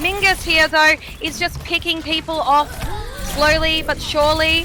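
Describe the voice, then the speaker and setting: A woman's raised, projected voice at a high pitch, with an Australian accent, a moderate pace and noticeable background noise. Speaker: esports caster. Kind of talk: live commentary. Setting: live stream.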